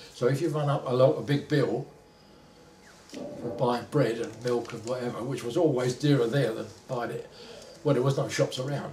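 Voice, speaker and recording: A man with a Cockney accent speaks with fairly even intonation. His loudness swings widely, and there is noticeable background noise. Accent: Cockney London English. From London. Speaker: retired factory worker. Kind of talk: oral history interview.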